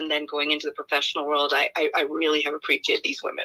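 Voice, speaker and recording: A woman's voice, dry and close, with no echo. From India, Kerala. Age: 50s. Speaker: human rights advocate, nonprofit director. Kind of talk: interview. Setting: online livestream.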